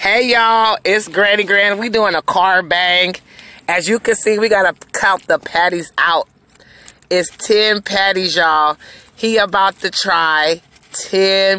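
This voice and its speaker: A woman talks with a bright, sharp tone in a dry sound with no echo. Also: fairly slow pace. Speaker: channel host filming. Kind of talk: casual vlog chat. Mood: playful, laughing. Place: car. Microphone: phone near.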